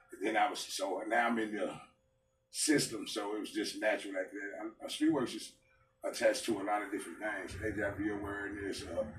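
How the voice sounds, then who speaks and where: A man with an American accent at a fairly quick pace, with audible room echo and music in the background. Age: 50s. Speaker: barber. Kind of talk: interview. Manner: loud; halting, many fillers.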